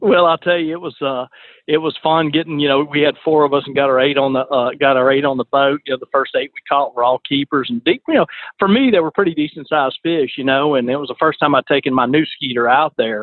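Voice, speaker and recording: In an Alabama accent, a man talks at a very fast pace, his fairly high pitch moving with ordinary variation. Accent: Alabama Southern. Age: 50s. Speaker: fishing charter captain. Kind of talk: casual chat.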